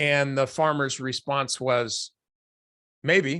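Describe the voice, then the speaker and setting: Against a quiet background, a man speaks at a very slow pace. His fairly high voice has a bright, sharp tone. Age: 60s. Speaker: stock trading educator. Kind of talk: casual monologue to viewers. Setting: lying down at home on camera. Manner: halting, many fillers.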